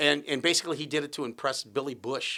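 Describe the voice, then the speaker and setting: A man with a Midwestern US accent talks very fast in a fairly high, bright, sharp voice on a very clean recording with a silent background. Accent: US Midwest. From Iowa, US Midwest. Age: 60s. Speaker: comedian. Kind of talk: casual chat. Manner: halting.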